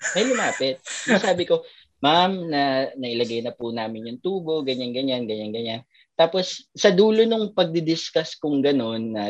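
A woman's very deep, low voice at a moderate pace, with very wide pitch swings. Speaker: doctor and podcast co-host. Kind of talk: casual chat.

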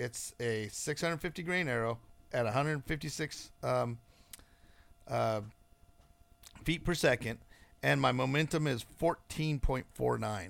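A man's medium-pitched voice, very slow and broken by long, frequent pauses, on a very clean recording with a silent background. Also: ordinary pitch variation. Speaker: bowhunting podcast host. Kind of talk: solo monologue podcast. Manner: casual, halting with frequent fillers.

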